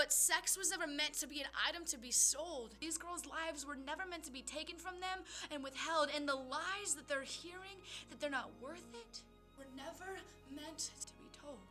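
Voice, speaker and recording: Over music in the background, a woman with a high pitch speaks at a moderate pace in a raised, projected voice, her pitch varying an ordinary amount and her loudness swinging widely. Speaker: poet. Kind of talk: slam poetry performance. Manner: earnest, impassioned.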